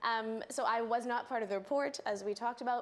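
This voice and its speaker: A woman with a Canadian accent speaks at a fairly high pitch. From Canada. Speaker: political scientist, lecturer. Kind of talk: panel discussion.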